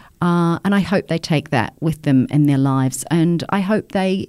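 A woman with a New Zealand accent and ordinary pitch variation, on a very clean recording with a silent background. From New Zealand, provincial town. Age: 50s. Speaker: journalist. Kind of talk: interview conversation.

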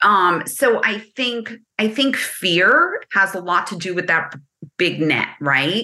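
Speaking very slowly with a New Jersey accent, a woman uses a medium pitch and lively intonation. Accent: New Jersey American. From New Jersey, US. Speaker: business consultant. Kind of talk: casual interview chat.

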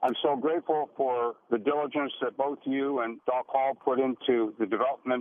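A man with a normal speaking voice talks at a moderate pace, with medium pitch and fairly even intonation. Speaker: radio caller. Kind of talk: call-in question to radio doctors. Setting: phone call.

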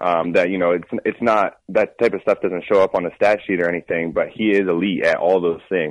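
A man talks at a fairly quick pace with hardly any pauses, the sound dry and close with no echo. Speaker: professional basketball player. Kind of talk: interview. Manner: hesitant, many ums and uhs.

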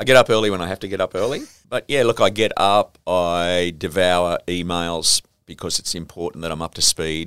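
With an Australian accent, a man speaks at a very deep, low pitch with ordinary pitch variation, dry and close with no echo, on a very clean recording with a silent background. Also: moderate pace. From Sydney, Australia (St George area). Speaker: television and entertainment executive. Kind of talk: interview. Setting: office.

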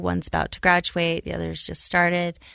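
A woman speaks against a quiet background. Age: 40s. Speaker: podcast host, state first lady. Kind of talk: casual interview.

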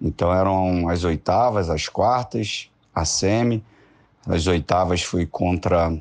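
This man's voice sits very deep and low. His delivery is very slow. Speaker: former footballer. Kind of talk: interview.

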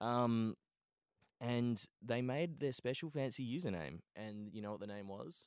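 Here a man speaks with an Australian accent at a medium pitch. His pace is fairly slow and his intonation lively. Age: 20s. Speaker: Twitch streamer and podcast host. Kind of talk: casual chat. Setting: studio. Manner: joking, banter.

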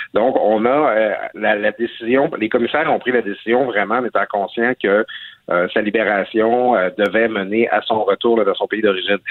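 This man has a plain, everyday voice. His pitch is medium and his intonation fairly even. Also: moderate pace. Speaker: newspaper columnist. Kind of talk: radio interview.

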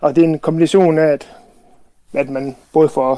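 Fairly even in intonation, a man talks with a fairly high pitch. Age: 40s. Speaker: former teacher, house renovator, listener panel member. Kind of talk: radio panel discussion. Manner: halting, many fillers.

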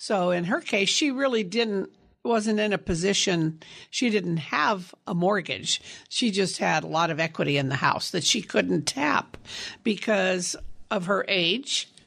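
In a plain, everyday voice, a woman of medium pitch speaks at a fairly slow pace with lively intonation and very even loudness. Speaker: reverse mortgage expert. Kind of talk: radio interview.

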